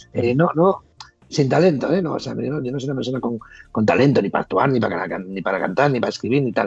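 A man speaks fairly quickly at medium pitch with vocal fry. His intonation is lively. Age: 50s. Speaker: former reality show contestant. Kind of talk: casual interview. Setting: call.

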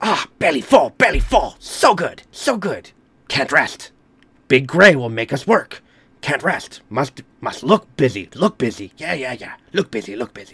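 Putting on a squeaky character voice, a man speaks at a fairly slow pace in a fairly high pitch with very wide pitch swings.

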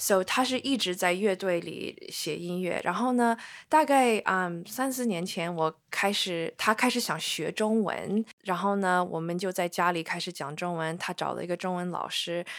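On a very clean recording with a silent background, a woman speaks at a fairly slow pace with hardly any pauses and ordinary pitch variation. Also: medium pitch for a woman. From US small town. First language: English (speaking Chinese). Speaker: band lead singer. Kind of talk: casual interview conversation. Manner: halting, with many repetitions and fillers; frequent code-switching into English.

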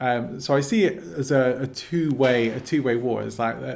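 Speaking in an English accent, a man of medium pitch keeps a moderate pace and fairly even intonation. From England. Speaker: personal development coach. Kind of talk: interview. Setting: video call.

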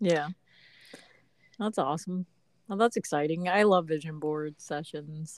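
Pausing long and often, a woman talks at a fairly slow pace in a fairly low pitch with ordinary pitch variation, and the sound is dry and close with no echo. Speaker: podcast co-host, mother. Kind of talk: casual chat.

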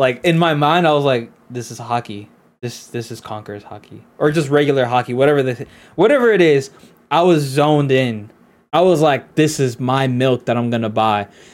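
Recorded very cleanly with a silent background, a man with an ordinary speaking voice and a fairly high pitch talks at a moderate pace with lively intonation and big swings in loudness. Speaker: podcast co-host. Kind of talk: casual chat.

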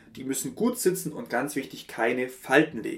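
Lively intonation marks this man's fairly high-pitched delivery in an unremarkable speaking voice. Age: 30s. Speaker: podcast host. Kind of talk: solo podcast monologue. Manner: filler-heavy, with frequent ähm.

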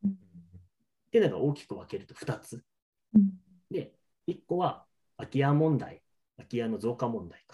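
The voice has a dark, mellow tone, somewhat breathy, with very wide pitch swings and big swings in loudness. It goes at a moderate pace with long, frequent pauses. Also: man, fairly high pitch for a man. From Niigata, Nagaoka. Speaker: lodging business owner. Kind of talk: interview.

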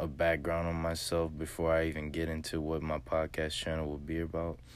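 A man with an American accent speaks in a very deep, low pitch at a moderate pace, his intonation fairly even. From US South, southwest Louisiana. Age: 20s. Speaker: podcaster. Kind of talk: motivational monologue. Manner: hesitant, many fillers.

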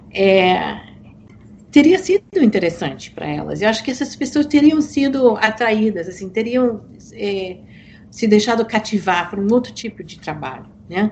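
Her pitch fairly high and her voice somewhat breathy, a woman speaks at a moderate pace with lively intonation and big swings in loudness. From United States. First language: English (speaking Portuguese). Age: old. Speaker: author. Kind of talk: podcast interview.

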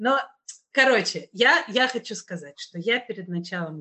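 This woman has lively intonation. She speaks at a fairly slow pace. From Russia, Kazan. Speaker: podcast host. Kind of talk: casual chat.

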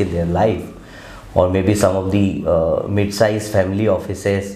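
With audible room echo and noticeable background noise, a man at a fairly low pitch speaks at a moderate pace. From India. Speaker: investment platform founder and host. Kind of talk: webinar interview.

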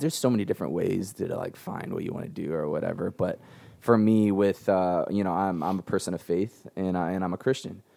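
A man with an American accent, dark, mellow tone, fairly quick pace and hardly any pauses. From San Diego, California. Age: 20s. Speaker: nonprofit founder. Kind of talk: interview.

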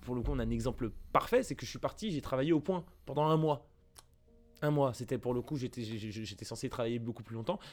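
Over music in the background, a man talks at a very fast pace with a medium pitch and ordinary pitch variation. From Paris area, France. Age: 20s. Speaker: pop culture video creator. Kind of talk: interview testimony. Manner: halting, many repetitions and fillers.

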